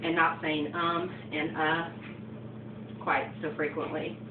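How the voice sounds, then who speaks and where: The speaker has an American accent. Room echo is audible, and there is noticeable background noise. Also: woman. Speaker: college student. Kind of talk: class speech. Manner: frequent um and uh fillers.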